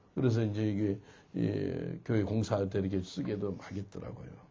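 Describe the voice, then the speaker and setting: Audible room echo surrounds a man's fairly low voice with vocal fry. He talks at a moderate pace. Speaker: pastor. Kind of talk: sermon.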